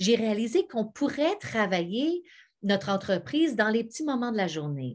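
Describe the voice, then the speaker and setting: A woman speaks at a moderate pace against a quiet background. Her pitch swings very widely. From Quebec (Montebello); Quebec. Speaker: actress and singer; actress. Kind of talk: sales pitch. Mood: warm, enthusiastic. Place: home room. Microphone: webcam.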